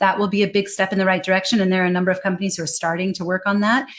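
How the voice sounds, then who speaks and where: On a very clean recording with a silent background, a woman with an American accent speaks at a medium pitch in a monotone, flat intonation. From United States. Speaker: global English communication trainer and speaker. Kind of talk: interview conversation.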